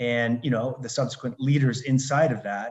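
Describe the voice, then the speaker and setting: A man with a Canadian accent, a normal speaking voice, medium pitch and a moderate pace. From Canada, Alberta. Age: 60s. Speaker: retired consultant and life coach. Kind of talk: podcast interview.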